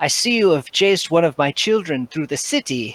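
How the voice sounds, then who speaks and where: A man's put-on character voice, fairly high-pitched, at a fairly quick pace. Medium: actual play. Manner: congenial, self-assured.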